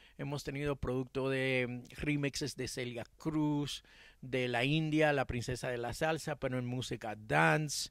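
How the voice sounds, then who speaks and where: The background is quiet and the sound is dry with no echo. A man speaks at a fairly slow pace with ordinary pitch variation. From Cuba-born, raised in Miami. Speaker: music producer and songwriter; interviewee. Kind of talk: interview. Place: garden. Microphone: handheld.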